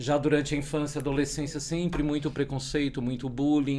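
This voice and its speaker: An ordinary speaking voice. The pace is fairly quick. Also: man. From Brazil, São Paulo. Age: 40s. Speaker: tech community organizer and podcaster. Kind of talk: podcast interview.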